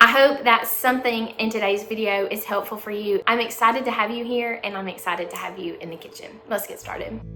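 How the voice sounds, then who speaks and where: Talking very fast with a Southern US accent, a woman's fairly high voice comes through audible room echo and noticeable background noise. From US South. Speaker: cooking youtuber. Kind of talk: tutorial. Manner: friendly, upbeat.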